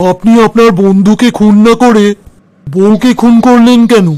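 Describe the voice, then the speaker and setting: A man puts on a high-pitched cartoonish character voice and speaks at a moderate pace. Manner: formal.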